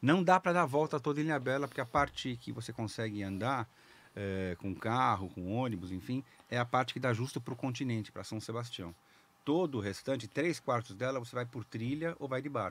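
A medium-pitched man talks at a fairly quick pace with lively intonation. The sound is dry with no echo. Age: 60s. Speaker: open-water swimmer; podcast guest. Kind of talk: casual interview chat. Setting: studio. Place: studio. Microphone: studio mic.

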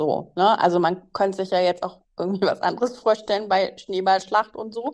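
Hers is an ordinary speaking voice, with a medium pitch. The woman talks at a moderate pace with fairly even intonation. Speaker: podcast co-host. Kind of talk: casual chat.

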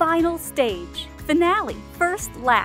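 A woman speaks in an energetic tone with music in the background. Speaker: voice actor. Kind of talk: game announcer lines. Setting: studio. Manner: energetic, positive.

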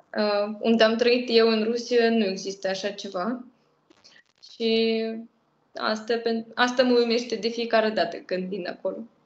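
With a Russian accent, a woman speaks at a fairly high pitch and a fairly slow pace, with monotone, flat intonation, long, frequent pauses and audible room echo. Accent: Russian accent in Romanian. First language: Russian (speaking Romanian). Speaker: language project co-creator. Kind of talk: interview. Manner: halting. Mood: warm, relaxed. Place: home room. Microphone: video call.

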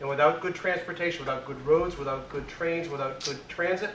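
Against noticeable background noise, a man with an American accent speaks at a fairly high pitch with fairly even intonation. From Worcester, Massachusetts. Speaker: state transportation finance official. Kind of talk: lecture. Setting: stage with audience.

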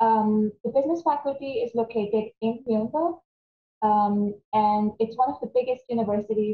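Somewhat breathy speech from a woman, with audible room echo and light background noise. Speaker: academic coordinator. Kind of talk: webinar presentation. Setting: video call. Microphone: webcam.

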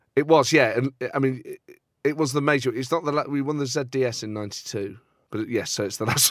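A man with an ordinary speaking voice talks at a fairly quick pace, medium in pitch, with ordinary pitch variation. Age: 30s. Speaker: podcast host. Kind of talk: casual chat.

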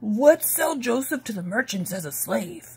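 In a put-on character voice, the speaker moves at a fairly slow pace, with big pitch swings, a husky, rough edge and a slightly mellow tone. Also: woman, fairly high pitch for a woman.

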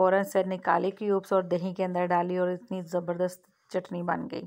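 A woman's fairly low voice with monotone, flat intonation

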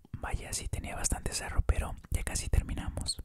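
Over loud background noise, the speech moves at a moderate pace. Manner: soft ASMR murmur, gentle and calm.

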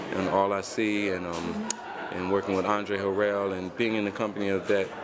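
A man talks at a moderate pace. Noticeable background noise runs through the clip. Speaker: interviewee. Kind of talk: interview answer. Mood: relaxed, laughing. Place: home room.

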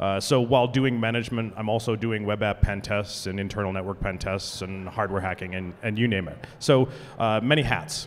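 A man talks at a fairly quick pace in a fairly low pitch, with an unremarkable speaking voice. Light background noise is present. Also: ordinary pitch variation. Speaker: conference presenter. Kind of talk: conference talk introduction. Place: hall. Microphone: handheld.

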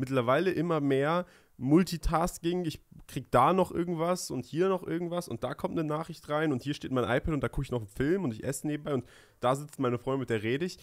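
A man talks at a very fast pace. His pitch varies in an ordinary way against a quiet background. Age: 20s. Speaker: podcast co-host, young entrepreneur; podcast co-host. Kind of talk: casual chat. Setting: studio. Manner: hesitant, many fillers. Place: studio. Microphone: studio mic.

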